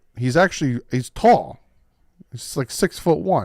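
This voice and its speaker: A man's voice with very wide pitch swings, in a dry, close sound with no echo. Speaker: sports fan streamer. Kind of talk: live stream reaction. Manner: casual, thinking aloud with fillers; stutters when reading aloud.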